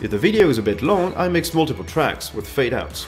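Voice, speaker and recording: Faint music plays in the background as a man with a non-native accent talks at a fairly quick pace, his voice making very wide pitch swings. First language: not English. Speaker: YouTuber. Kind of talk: scripted narration. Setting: home studio. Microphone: studio mic.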